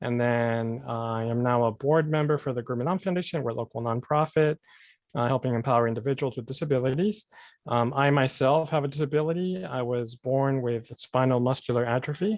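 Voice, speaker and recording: With an American accent and a plain, everyday voice, a man of medium pitch talks fairly quickly with ordinary pitch variation over a quiet background. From San Diego, California. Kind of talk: meeting self-introduction.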